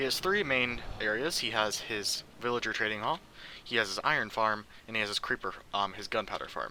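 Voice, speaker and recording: A man's bright, sharp voice at medium pitch, ordinary pitch variation, moderate pace. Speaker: gaming youtuber. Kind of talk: game commentary tour. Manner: stuttering, halting.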